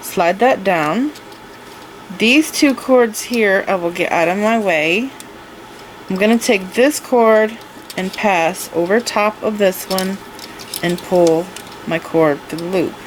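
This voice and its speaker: With long, frequent pauses and a very slow pace, a woman of medium pitch speaks with ordinary pitch variation over noticeable background noise. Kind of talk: tutorial. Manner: casual, step-by-step explaining.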